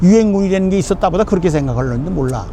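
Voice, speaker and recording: Music plays behind a man. His voice sits high in pitch. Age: 90s. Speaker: war veteran and former minister. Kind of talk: on-location interview. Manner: emphatic.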